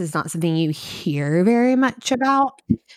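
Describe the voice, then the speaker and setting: A woman with a Kentucky accent at a fairly slow pace. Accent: Kentucky Southern US. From US, Kentucky. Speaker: preschool teacher. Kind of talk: casual chat.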